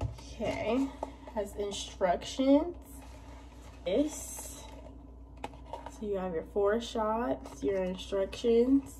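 With long, frequent pauses, a woman speaks at a very slow pace against noticeable background noise. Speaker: vlogger. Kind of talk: casual vlog. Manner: animated.

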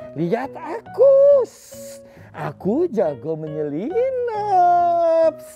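Over clear background music, a put-on character voice with an extremely high pitch moves at a very slow pace. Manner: boastful, playful.

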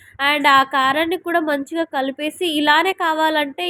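The recording is dry and close with no echo as a woman with a high pitch speaks in fairly even intonation. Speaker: cooking vlogger. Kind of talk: cooking tutorial. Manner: casual, chatty.

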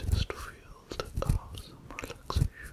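A man whispers. He speaks at a very slow pace. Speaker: roleplay host. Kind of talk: soft-spoken relaxation roleplay. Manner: soft, hushed ASMR voice. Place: home room.

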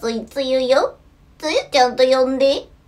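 The voice here is a put-on character. It moves at a moderate pace. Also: female-sounding voice, high pitch for a woman. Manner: imitation, still unpolished.

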